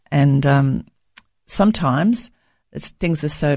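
A woman's very deep, low voice with a dark, mellow tone, ordinary pitch variation and an Australian accent, on a very clean recording with a silent background. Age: 70s. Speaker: author. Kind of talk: interview. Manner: halting, many fillers.

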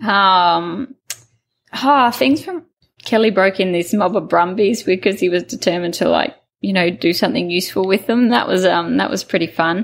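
At a moderate pace, a woman with an Australian accent speaks at a medium pitch with ordinary pitch variation. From Queensland, Australia. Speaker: cattle station owner. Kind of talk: interview.

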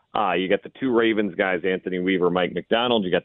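A man's fairly low-pitched voice. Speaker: sports radio host. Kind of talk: sports talk radio. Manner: halting, many fillers.

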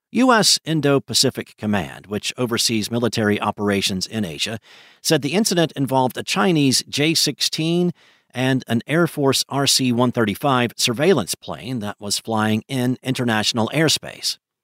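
Moderate pace and lively intonation from a man with an ordinary speaking voice and medium pitch, in a very clean recording with a silent background. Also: dry, close sound with no echo. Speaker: news reader. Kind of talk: newsreading, reading a written news article aloud. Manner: formal, even and measured; steady, brisk and neutral in tone.

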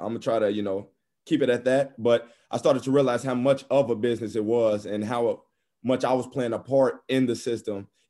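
With an American accent and a dark, mellow tone, a man speaks fairly quickly with fairly even intonation. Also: medium pitch for a man. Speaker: former college basketball player. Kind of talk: interview.

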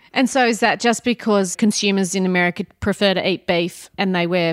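Speaking at a fairly quick pace with an Australian accent, a woman with a medium pitch shows ordinary pitch variation in a dry, close sound with no echo. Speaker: veterinarian interviewer. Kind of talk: casual interview. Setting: kitchen table at home.

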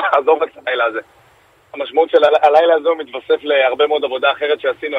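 A man's fairly high, monotone voice, flat in intonation and fairly quick. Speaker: politician. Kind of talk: radio interview. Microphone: audio cutting out.

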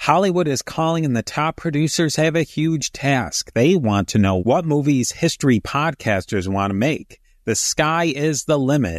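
At a moderate pace and with hardly any pauses, a man with a normal speaking voice talks at a fairly high pitch with lively intonation, in a dry, close sound with no echo. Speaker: podcast host and moderator. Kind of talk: casual roundtable chat.

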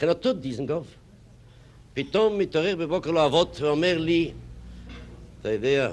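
A man speaks at a fairly high pitch and a moderate pace with very wide pitch swings. He leaves long, frequent pauses. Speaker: art critic. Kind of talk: panel discussion.

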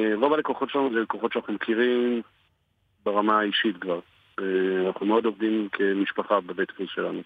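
A man with a fairly low pitch and fairly even intonation talks at a fairly quick pace, broken by long, frequent pauses. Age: 40s. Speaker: print shop owner and army reservist. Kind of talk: radio interview.

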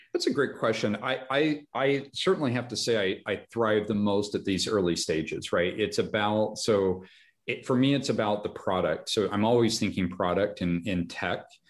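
A man at medium pitch with an American accent, moderate pace, ordinary pitch variation, hardly any pauses, and a quiet background. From Nevada (Reno), US West. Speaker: tech company founder. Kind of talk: interview conversation.

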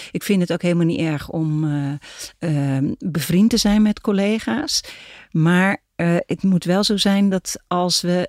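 With lively intonation, a woman speaks at a fairly low pitch in a dry, close sound with no echo. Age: 60s. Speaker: philosopher. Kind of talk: casual chat. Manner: halting.

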